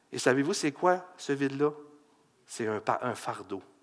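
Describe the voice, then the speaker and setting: A man speaks in an animated tone with a Quebec accent. His pitch swings very widely. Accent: Québécois French. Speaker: pastor. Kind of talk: sermon.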